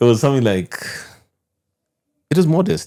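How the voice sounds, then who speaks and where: A man's very fast speech in a dark, mellow tone, with very wide pitch swings. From Kenya, coastal Mombasa. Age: 50s. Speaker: tech entrepreneur. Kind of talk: podcast interview. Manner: animated.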